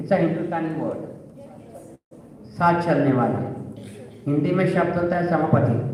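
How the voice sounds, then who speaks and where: With audible room echo and noticeable background noise around him, a man talks in a high voice. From India, Bombay. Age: 60s. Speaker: LGBT activist, panel speaker. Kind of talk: panel talk, personal testimony.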